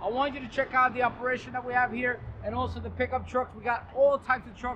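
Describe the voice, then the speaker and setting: This man talks at a very fast pace in a raised, projected voice. There is light background noise behind him. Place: street.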